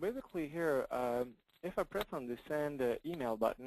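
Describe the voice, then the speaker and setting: A man with a French accent, fairly high-pitched, at a moderate pace, in a dry, close sound with no echo. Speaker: software company representative. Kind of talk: software demo. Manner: halting.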